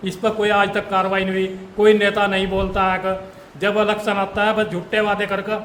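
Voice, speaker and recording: A man with a high pitch and monotone, flat intonation, at a moderate pace with hardly any pauses, amid noticeable background noise and audible room echo. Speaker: farmer. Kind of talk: interview testimony.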